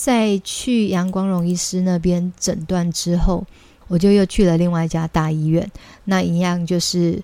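In a dark, mellow tone, a woman speaks fairly slowly at a fairly low pitch with fairly even intonation. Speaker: children's English teacher and podcast host. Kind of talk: casual monologue.

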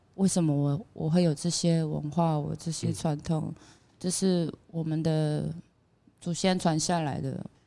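A woman's very deep, low voice with a dark, mellow tone, fairly slow and fairly even in intonation. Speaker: singer. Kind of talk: casual chat. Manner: loud.

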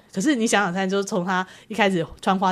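A woman with a normal speaking voice, medium pitch and a fairly quick pace. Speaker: publishing editor-in-chief. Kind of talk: interview. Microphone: poor sound quality in second half due to equipment.

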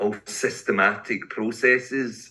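With a Glaswegian accent, a man speaks in a bright, sharp tone. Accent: Glaswegian Scottish. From Scotland, Glasgow. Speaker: poet and English teacher. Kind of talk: casual interview.

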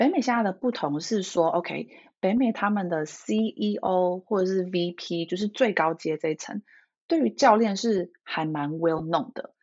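Lively intonation marks this woman's ordinary speaking voice at a medium pitch. She talks at a fairly slow pace. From Taiwan. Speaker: leadership coach. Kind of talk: interview.

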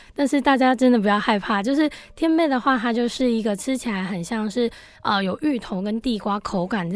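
With lively intonation and a fairly high pitch, a woman talks at a moderate pace against noticeable background noise. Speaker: food company co-founder. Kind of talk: radio interview.

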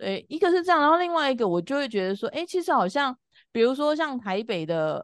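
This woman's voice sits high in pitch. It swings very widely up and down. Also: fairly quick pace, quiet background. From Taiwan, Taipei. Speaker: family constellation facilitator. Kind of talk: casual interview chat.

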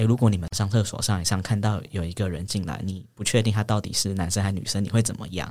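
A man with a Taiwanese accent talking very fast at a fairly low pitch, with ordinary pitch variation, on a very clean recording with a silent background. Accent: Taiwanese Mandarin. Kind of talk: casual interview chat.

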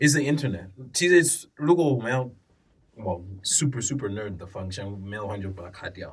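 With an English accent, a man speaks at a medium pitch in a somewhat breathy voice, using lively intonation and big swings in loudness. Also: moderate pace. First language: English (speaking Chinese). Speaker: podcast guest. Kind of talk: casual chat. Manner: code-switching between English and Mandarin.

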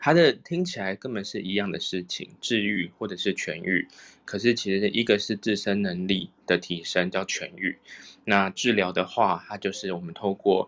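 A man in a normal speaking voice, fairly low in pitch with ordinary pitch variation, at a moderate pace against a quiet background. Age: young. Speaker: reiki teacher. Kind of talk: casual chat.

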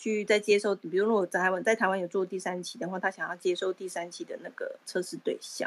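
An unremarkable speaking voice delivered at a fairly quick pace. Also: woman. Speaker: Clubhouse participant. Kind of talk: casual chat.

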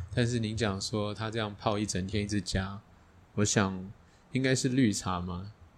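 A man with an ordinary speaking voice talks at a moderate pace in a fairly low pitch with fairly even intonation. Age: middle-aged. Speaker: podcast host. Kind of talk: casual chat. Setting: teahouse.

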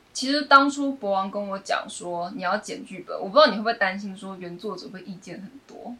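Over noticeable background noise, a woman speaks fairly quickly at a medium pitch, with ordinary pitch variation and big swings in loudness. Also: hardly any pauses. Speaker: playwright. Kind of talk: casual chat.

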